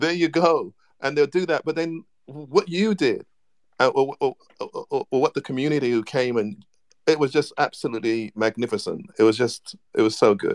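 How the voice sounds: Medium-pitched male speech at a moderate pace, its pitch variation ordinary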